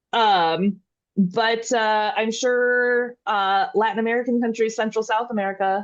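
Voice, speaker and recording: A woman speaks slowly-ish, at a fairly slow pace, with a Midwestern accent and a fairly high pitch. Her intonation stays fairly even against a quiet background. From US Midwest. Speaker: podcast host, dairy extension educator. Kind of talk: casual educational podcast chat.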